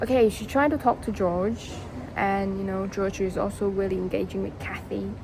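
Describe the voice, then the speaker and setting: A woman with a non-native accent over noticeable background noise. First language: not English. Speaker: storytelling vlogger. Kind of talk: casual storytelling. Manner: halting, many fillers and restarts.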